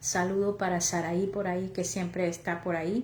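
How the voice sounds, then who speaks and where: A woman with a Mexican accent speaks fairly slowly in a flat monotone, with audible room echo around her. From Oaxaca, Mexico. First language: Chatino (speaking Spanish). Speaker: lay preacher. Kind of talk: sermon. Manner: halting.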